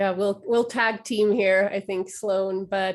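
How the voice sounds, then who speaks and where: A woman speaks with a Swedish accent. Her pitch sits in the medium range. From western Finland. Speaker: trauma-informed care educator. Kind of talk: webinar Q&A discussion.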